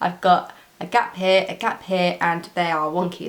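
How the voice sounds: A woman with a fairly low pitch speaks, with audible room echo around her.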